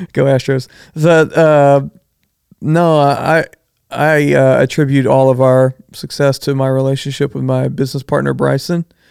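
A man speaks with a Texan accent at a fairly high pitch. His intonation is monotone and flat. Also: moderate pace. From Southeast Texas (Bridge City). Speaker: architect / designer. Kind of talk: casual interview.

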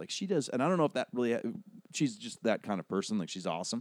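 A man with a dark, mellow tone and very wide pitch swings. The sound is dry and close, with no echo. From Hawaii. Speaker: actor and TV narrator. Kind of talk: casual chat.

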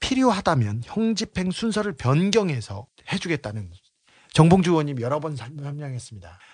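Pitch swings very widely as a man speaks at a fairly high pitch. He keeps a moderate pace against a quiet background. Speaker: investigative journalist. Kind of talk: casual chat.

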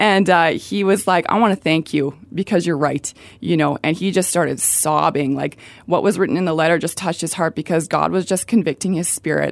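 A speaker with a Canadian accent talks at a fairly quick pace, with vocal fry and ordinary pitch variation. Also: woman, fairly low pitch for a woman. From Calgary, Canada. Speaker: ministry outreach volunteer. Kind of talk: radio interview. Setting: radio studio.

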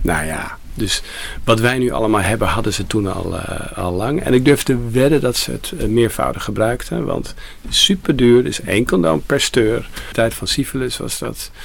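Lively intonation at a moderate pace, over noticeable background noise. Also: man. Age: 60s. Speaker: shop co-founder. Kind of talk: recorded interview.

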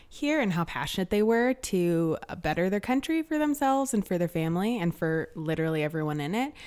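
Against a very clean recording with a silent background, a woman talks at a fairly quick pace with hardly any pauses and very wide pitch swings. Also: medium pitch for a woman. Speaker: intern. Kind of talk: casual chat.

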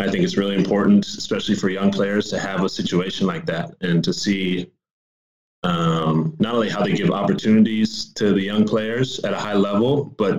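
With an American accent and an unremarkable speaking voice, a man talks at a fairly quick pace with a fairly low pitch and ordinary pitch variation. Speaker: professional basketball player. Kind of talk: interview.

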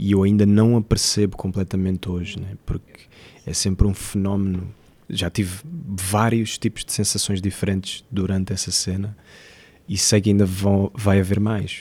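A man with a dark, mellow tone and a fairly low pitch speaks at a moderate pace with fairly even intonation on a very clean recording with a silent background. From Mozambique. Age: 20s. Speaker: actor. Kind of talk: interview.

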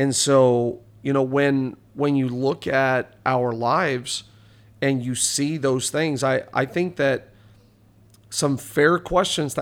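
A man speaks in a normal speaking voice. His pitch is medium and his intonation fairly even. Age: 40s. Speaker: pastor. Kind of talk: casual chat.

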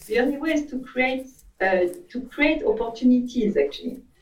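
Speaking with a French accent, a woman uses a high pitch with very wide swings and a fairly quick pace. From France. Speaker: advertising agency CEO. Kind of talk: interview.

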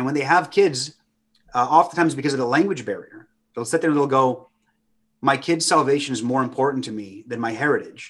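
A man speaks fairly quickly in an ordinary speaking voice. His pitch is medium, with ordinary pitch variation. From US (Romanian immigrant family). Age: 30s. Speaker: traveling minister. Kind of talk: casual chat.

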